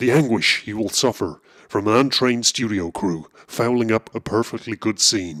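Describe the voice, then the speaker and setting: A man speaks at a moderate pace and medium pitch in a put-on character voice, on a very clean recording with a silent background. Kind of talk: mock eerie anthology narration. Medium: comedy sketch. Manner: slow, portentous.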